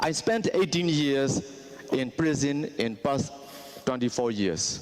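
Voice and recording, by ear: The pace is slow. The intonation is lively. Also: man, medium pitch for a man.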